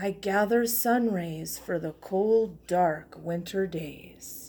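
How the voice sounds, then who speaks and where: A woman uses a put-on character voice with a gentle tone at medium pitch. She speaks at a very slow pace. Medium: read story. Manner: gentle, unhurried.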